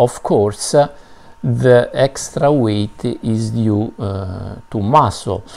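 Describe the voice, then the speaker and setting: A man with a non-native accent speaks at a very slow pace. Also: ordinary pitch variation. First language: not English. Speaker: health and fitness video host. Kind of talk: educational explainer. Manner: hesitant, many filler sounds. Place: home room. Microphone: webcam.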